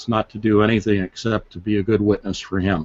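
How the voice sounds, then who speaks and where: A man speaks in a plain, everyday voice. It is fairly low in pitch, with fairly even intonation. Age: 60s. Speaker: author. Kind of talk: interview. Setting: live stream.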